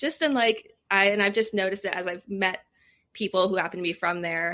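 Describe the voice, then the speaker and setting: A woman's medium-pitched voice, bright and sharp in tone, with a slight Nova Scotian accent. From Nova Scotia, Canada (Lake Echo). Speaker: communications professional, former radio broadcaster. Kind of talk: casual interview chat. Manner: fast.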